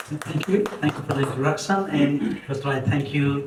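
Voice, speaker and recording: A man with a fairly high voice speaks over noticeable background noise, with audible echo in the room. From Nepal, rural Myagdi. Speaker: author and scientist. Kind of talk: speech. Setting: book launch event with audience.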